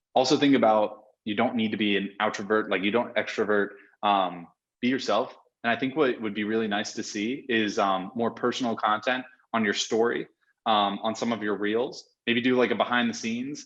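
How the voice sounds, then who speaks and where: At a moderate pace, a man speaks in an energetic tone at medium pitch. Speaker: video editing company founder and CEO. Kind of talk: podcast interview.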